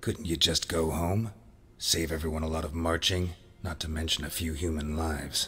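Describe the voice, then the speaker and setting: In a put-on character voice, a man speaks at a moderate pace with a very deep, low pitch over clear background noise. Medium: short film. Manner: terse, dry, ironic.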